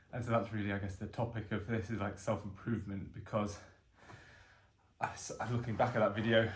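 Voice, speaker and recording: In a room with audible echo, a man speaks at a fairly quick pace in a fairly low, somewhat breathy voice with monotone, flat intonation. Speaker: vlogger doing fitness challenge. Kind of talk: casual self-recorded vlog monologue. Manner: hesitant, with fillers; slight stammer on words.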